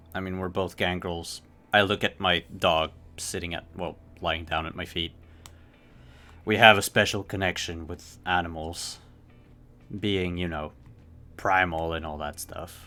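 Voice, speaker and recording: Using a put-on character voice, a man speaks at a very deep, low pitch and a moderate pace, with long, frequent pauses. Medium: actual play. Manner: casual, easygoing.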